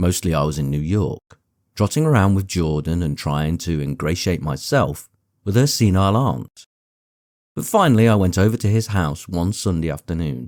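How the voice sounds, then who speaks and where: A soft-spoken man with an English accent talks at a moderate pace, his very deep, low voice carrying lively intonation. The recording is very clean, with a silent background. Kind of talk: audiobook reading. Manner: soft-spoken, gentle.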